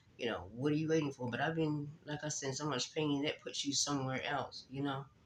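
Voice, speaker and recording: A man talks at a fairly quick pace in a fairly high pitch. His intonation is monotone and flat, with noticeable background noise. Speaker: faith vlogger. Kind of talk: casual vlog talk.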